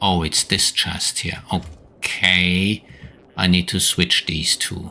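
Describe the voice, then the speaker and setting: A man talks very slowly with a very deep, low pitch. His intonation stays monotone and flat. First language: German. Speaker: video game streamer. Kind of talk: live gameplay stream chat.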